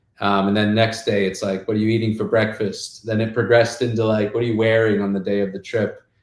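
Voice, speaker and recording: Speaking very fast, a man with an American accent has a fairly low pitch and monotone, flat intonation. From South Africa. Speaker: game company founder. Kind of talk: podcast interview, personal story. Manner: casual, filler-heavy.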